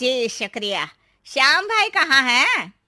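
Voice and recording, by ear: Putting on a cartoonish character voice, a woman speaks at a high pitch with very wide pitch swings.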